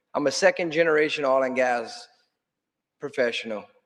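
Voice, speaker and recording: A man talks with a strong South Louisiana accent at a fairly quick pace. His pitch is fairly high, with lively intonation. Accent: thick South Louisiana. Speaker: state legislator. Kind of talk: conference panel talk. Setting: conference stage with audience.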